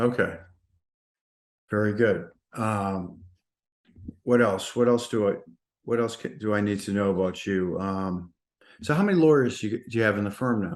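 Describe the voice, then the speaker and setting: With a Massachusetts accent, a man with a fairly low pitch speaks with long, frequent pauses and ordinary pitch variation. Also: moderate pace. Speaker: podcast host. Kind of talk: interview.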